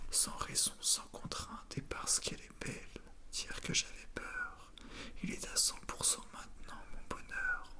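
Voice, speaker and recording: Noticeable background noise surrounds a woman who is whispering at a fairly slow pace. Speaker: ASMR creator reading aloud. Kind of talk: whispered theatre reading for ASMR. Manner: whispered, soft.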